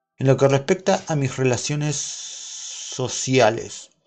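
Music plays in the background. A man speaks at a very slow pace. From Argentina. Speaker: YouTuber and podcaster. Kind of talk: casual solo livestream monologue. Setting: home livestream with OBS.

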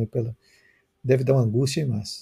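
A man speaks at a medium pitch with a dark, mellow tone and fairly even intonation, somewhat breathy. The recording is very clean, with a silent background. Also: dry, close sound with no echo. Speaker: journalist and live stream host. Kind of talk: interview.

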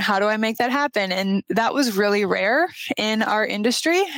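A woman with a slight Minnesotan accent, at a fairly quick pace. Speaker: structural engineer. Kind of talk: casual interview chat.

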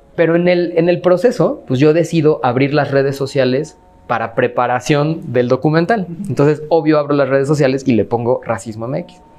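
A man with a Mexican accent, fairly high in pitch, at a moderate pace with ordinary pitch variation. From Mexico. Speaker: anti-racism activist. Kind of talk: interview. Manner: filler-heavy, hesitant.

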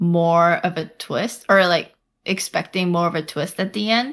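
With an American accent, a woman is talking. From US. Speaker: podcast co-host. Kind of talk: casual chat.

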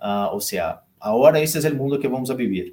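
This man speaks with a Portuguese accent. His pitch is medium and his pace moderate. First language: Portuguese (speaking Spanish). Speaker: consulting firm partner. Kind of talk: live interview. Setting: live stream.

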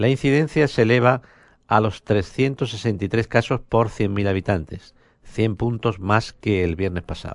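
A man's fairly low-pitched voice at a very slow pace, with ordinary pitch variation over a quiet background. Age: 50s. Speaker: radio host. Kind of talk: radio news and interview. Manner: hesitant, many fillers.

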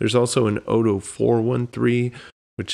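A man talks at a moderate pace with fairly even intonation. He has a plain, everyday voice. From Texas. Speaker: podcast host. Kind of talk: casual chat.

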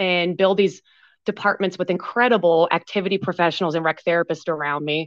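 Going at a fairly quick clip, an unremarkable speaking voice shows ordinary pitch variation. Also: woman. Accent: American. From Pennsylvania. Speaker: recreational therapist and business owner. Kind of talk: interview.

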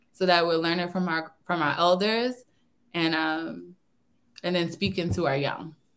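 With a normal speaking voice, a woman speaks at a fairly low pitch and a moderate pace, with ordinary pitch variation. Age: 30s. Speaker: community organizer. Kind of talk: interview.

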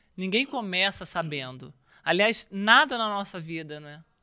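Her voice swings very widely in pitch and has a bright, sharp tone. The recording is very clean, with a silent background. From Rio de Janeiro, Brazil. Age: 40s. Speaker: former volleyball player. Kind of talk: interview.

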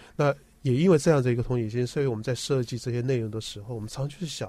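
Recorded very cleanly against a silent background, a man speaks at a medium pitch with ordinary pitch variation, a somewhat breathy quality and a dark, mellow tone. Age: 50s. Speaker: health communication director, former TV professional. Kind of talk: radio interview.

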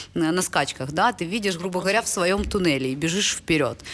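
A woman's plain, everyday voice at a medium pitch, with a fairly quick pace and lively intonation. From Ukraine. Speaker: startup and venture fund development executive. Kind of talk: casual chat.

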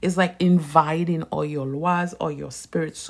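A woman with a very deep, low pitch talks at a fairly slow pace in a monotone, flat delivery. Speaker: Vodou practitioner and soap business owner. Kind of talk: casual unscripted monologue. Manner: conversational, unedited.

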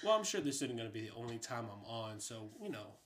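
A man with an unremarkable speaking voice, medium pitch and a fairly quick pace. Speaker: host's husband. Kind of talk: casual chat. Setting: home bedroom recording.

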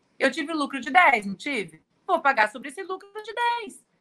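Over music in the background, a woman uses a raised, projected voice at a high pitch. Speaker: tax lawyer. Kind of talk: live-stream interview. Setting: live YouTube stream.

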